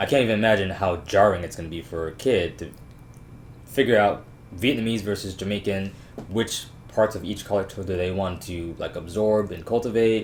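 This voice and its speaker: With an ordinary speaking voice, a man talks at a fairly quick pace in a fairly low pitch with ordinary pitch variation. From Jamaica, raised in US from young. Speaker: guest talking about his interracial relationship. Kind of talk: casual chat.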